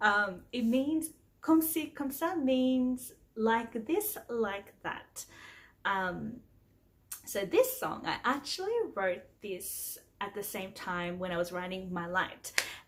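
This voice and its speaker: In an Australian accent, a woman speaks at a very slow pace, her somewhat breathy, fairly high voice moving through very wide pitch swings. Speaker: singer-songwriter. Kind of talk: casual vlog talk. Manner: casual, with frequent fillers.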